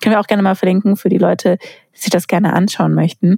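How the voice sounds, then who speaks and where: The sound is dry and close, with no echo. A woman talks very fast. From Baden-Württemberg, Sindelfingen near Stuttgart. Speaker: university podcast host. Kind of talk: interview.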